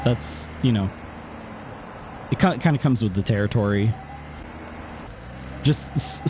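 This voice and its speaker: Amid noticeable background noise, a man with a fairly low pitch speaks at a fairly slow pace with long, frequent pauses, very wide pitch swings and very even loudness. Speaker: live streamer. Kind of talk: casual live stream chat. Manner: stammering, repeats words.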